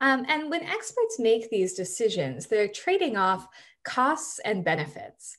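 Against a quiet background, a woman with a fairly high pitch speaks at a moderate pace. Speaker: computer science researcher. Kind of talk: lecture. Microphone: webcam.

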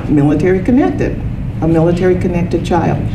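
A woman with a fairly low pitch and ordinary pitch variation speaks over noticeable background noise. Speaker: speaker. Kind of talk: lecture. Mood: warm, light humor. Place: meeting room. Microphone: handheld.

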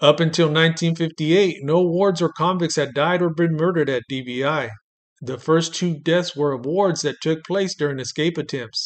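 A plain, everyday voice at a fairly slow pace. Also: man, fairly high pitch for a man. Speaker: true-crime narrator. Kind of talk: true-crime narration, scripted documentary-style. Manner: measured, deadpan, grave; formal, steady storytelling pace.

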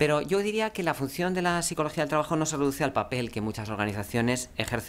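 Speaking at a very fast pace, a man delivers his words with lively intonation. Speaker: business executive. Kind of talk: conference talk. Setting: stage with audience. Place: meeting room. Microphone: podium.

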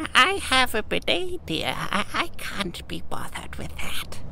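Fairly slow speech in a put-on character voice, clear background noise behind it

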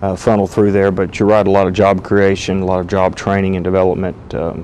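A man with a very deep, low voice speaks fairly quickly in a monotone, flat way over light background noise. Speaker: guest. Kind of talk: interview answer. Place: studio. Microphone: lapel.

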